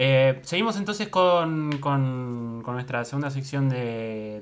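A man talks at a very slow pace with lively intonation. His pitch sits in the medium range. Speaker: podcast host, improv performer. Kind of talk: improvised comedy chat.

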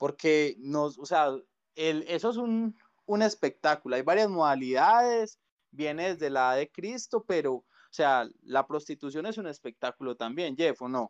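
In a normal speaking voice, a man at a fairly high pitch talks at a fairly slow pace with lively intonation, the sound dry and close with no echo against a quiet background. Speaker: podcast host. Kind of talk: casual chat.

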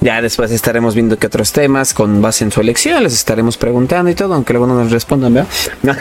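A man's very fast speech at medium pitch, with ordinary pitch variation and very even loudness, over music in the background. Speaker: podcast host. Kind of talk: casual chat.

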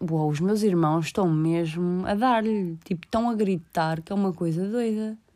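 Her pace is fairly slow. The woman's medium pitch shows ordinary pitch variation. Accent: European Portuguese. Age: 20s. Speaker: podcaster. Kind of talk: casual monologue. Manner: halting.

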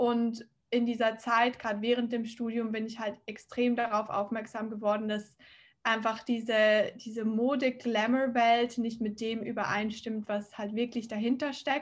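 A woman speaks at a fairly high pitch in a monotone, flat intonation, keeping a fairly slow pace. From Switzerland, near Zurich. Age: 20s. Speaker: fashion startup founder. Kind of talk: interview.

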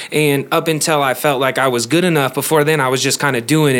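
In an American accent, a voice rushes at a very fast pace with monotone, flat intonation over noticeable background noise. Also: man. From Las Vegas, US. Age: 20s. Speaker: rapper and podcaster. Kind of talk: casual chat.

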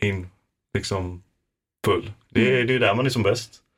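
In a very clean recording with a silent background, a man with a medium pitch and a somewhat breathy voice speaks with lively intonation. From Falkenberg, Halland, Sweden. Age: 20s. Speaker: university student and podcaster. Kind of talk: casual chat. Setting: studio.

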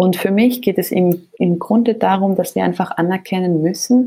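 At a moderate speed, the speaker talks in a dark, mellow tone. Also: woman. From Switzerland, Geneva. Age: 20s. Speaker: nonprofit co-founder and CEO. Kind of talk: casual interview. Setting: home office remote recording.

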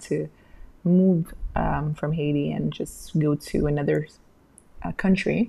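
A woman's very deep, low voice with a dark, mellow tone, fairly slow pace and fairly even intonation. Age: 30s. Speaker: podcast host. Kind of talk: personal monologue. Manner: halting, with fillers and repetitions.

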